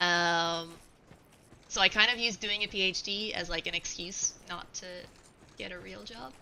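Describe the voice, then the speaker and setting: Speaking at a moderate pace with ordinary pitch variation, a woman leaves long, frequent pauses and swings widely in loudness against noticeable background noise. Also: medium pitch for a woman. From Ireland. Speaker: video game streamer. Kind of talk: casual chat while gaming on a live stream.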